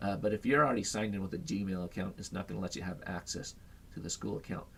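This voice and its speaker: Vocal fry runs through this voice, which has ordinary pitch variation. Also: man. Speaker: high school teacher. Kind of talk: tutorial. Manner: fast.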